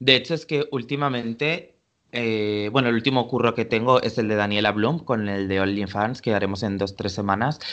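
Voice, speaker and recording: Against a quiet background, a man talks in an ordinary speaking voice at medium pitch, with ordinary pitch variation and a moderate pace. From Valencia, Spain. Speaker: fashion stylist. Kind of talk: casual interview.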